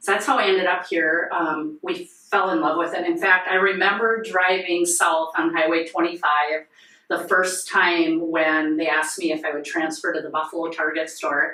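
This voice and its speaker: A woman speaks at a moderate pace in a fairly low pitch with a North Dakota accent. Noticeable background noise and audible room echo are present. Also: fairly even intonation. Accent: Upper Midwest (North Dakota). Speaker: nonprofit volunteer, sheriff's wife. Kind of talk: casual podcast interview. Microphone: poor audio due to technical difficulties.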